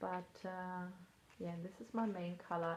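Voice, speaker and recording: Somewhat breathy and fairly low in pitch, a woman speaks with a non-native accent. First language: not English. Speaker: knitting vlogger. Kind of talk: casual chat. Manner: casual, hesitant with fillers.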